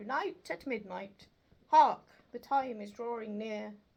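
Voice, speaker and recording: A woman puts on a character voice at a fairly high pitch, speaking at a fairly slow pace. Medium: read story. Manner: grave, solemn.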